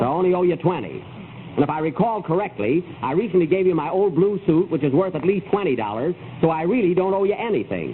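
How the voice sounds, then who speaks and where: Over noticeable background noise, a man talks at a very fast pace in a high voice with lively intonation. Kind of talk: old-time radio comedy.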